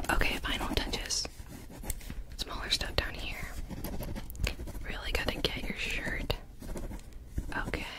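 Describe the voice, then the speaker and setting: Loud background noise fills the clip. A woman speaks at a fairly slow pace with long, frequent pauses. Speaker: ASMR creator. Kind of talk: ASMR roleplay, personal attention. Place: home room. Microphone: studio mic.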